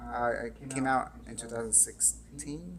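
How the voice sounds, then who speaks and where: A man talks over noticeable background noise. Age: 30s. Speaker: podcast host. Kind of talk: casual interview chat.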